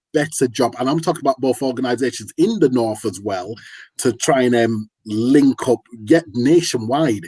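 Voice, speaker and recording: Man with a Yorkshire accent, medium pitch with ordinary variation, a dark, mellow tone and a moderate pace, sounding dry and close with no echo. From Yorkshire, northern England. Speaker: community activist. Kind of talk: casual chat. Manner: animated.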